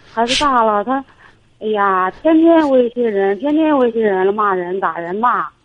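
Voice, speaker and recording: A woman speaks at a moderate pace with lively intonation. She has a normal speaking voice and a fairly high pitch. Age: 40s. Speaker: caller. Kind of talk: phone-in advice call.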